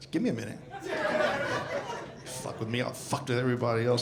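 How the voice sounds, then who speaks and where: A man with an American accent speaks over noticeable background noise, with audible echo in the room. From US South. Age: 60s. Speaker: stand-up comedian. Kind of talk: stand-up. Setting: stage with audience.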